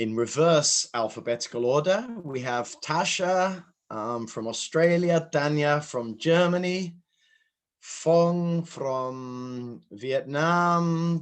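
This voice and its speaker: A man with a British accent and lively intonation against a quiet background. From UK. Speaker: session moderator. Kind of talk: online conference moderation.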